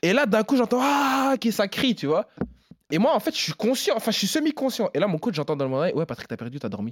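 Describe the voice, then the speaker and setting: A man with a high voice speaks very fast in an animated tone, with very wide pitch swings and a dry, close sound with no echo. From Belgium, Namur. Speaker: MMA fighter. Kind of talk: interview.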